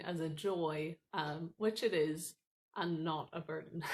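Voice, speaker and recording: A woman is speaking. She has a Northern Irish accent. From Northern Ireland. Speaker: student ministry staff worker. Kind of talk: recorded training talk.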